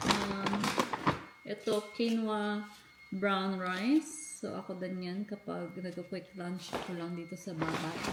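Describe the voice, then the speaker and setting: There is noticeable background noise as a woman talks in a medium pitch. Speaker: family vlogger. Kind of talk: casual vlog. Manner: loud. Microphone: no mic, speaking louder.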